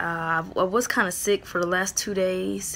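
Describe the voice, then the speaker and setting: Light background noise sits under a woman talking at a fairly slow pace. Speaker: ministry vlogger. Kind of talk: casual vlog chat. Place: home room. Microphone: phone near.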